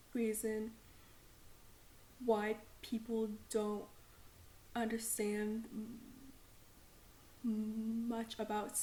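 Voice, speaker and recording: With an American accent, a woman speaks at a very slow pace in a dark, mellow, somewhat breathy tone. Her intonation is monotone and flat, with long, frequent pauses. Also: fairly high pitch for a woman. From Texas. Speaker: student, podcast host. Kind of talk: podcast introduction talk.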